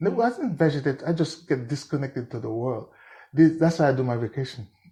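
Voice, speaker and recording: Fairly high-pitched yet dark and mellow in tone, a man speaks somewhat breathily at a fairly quick pace with lively intonation. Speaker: musician. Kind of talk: interview answer.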